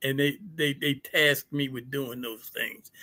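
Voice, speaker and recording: A bright, sharp tone in an American accent. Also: man. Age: 70s. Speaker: fraternity member, community elder. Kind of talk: interview on a live-streamed fireside chat.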